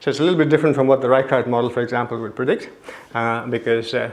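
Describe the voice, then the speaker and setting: Noticeable background noise mixes with audible room echo. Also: man. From South India. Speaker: neuroscientist. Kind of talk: lecture. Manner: fast.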